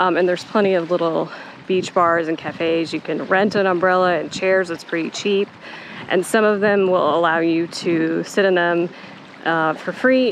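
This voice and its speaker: Moderate pace and dry sound with no echo, over light background noise. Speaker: travel vlogger. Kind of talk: casual vlog chat. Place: beach. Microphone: phone near.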